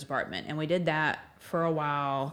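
This woman has a very deep, low pitch and speaks with a Southern US accent. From Alabama, Northport. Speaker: church member and parent. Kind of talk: casual chat.

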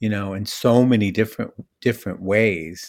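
With a normal speaking voice, a man talks at a fairly slow pace, his fairly low pitch following fairly even intonation. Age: 60s. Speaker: author, recovery speaker. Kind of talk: casual interview chat. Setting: remote audio call.

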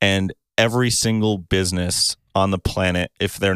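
Very deep and low, a man's voice holds a monotone, flat intonation. The sound is dry and close, with no echo. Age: 20s. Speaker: videographer and photographer. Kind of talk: casual chat.

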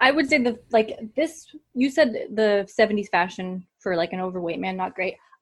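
Speaking at a moderate pace, a woman uses an unremarkable speaking voice with fairly high pitch and lively intonation. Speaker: podcast host. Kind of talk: casual chat. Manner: casual, joking.

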